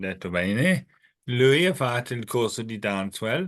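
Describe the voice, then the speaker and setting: A man's bright, sharp voice, very slow, with very wide pitch swings against a quiet background. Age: 50s. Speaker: webinar host, person with Parkinson's. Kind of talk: webinar interview. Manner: halting.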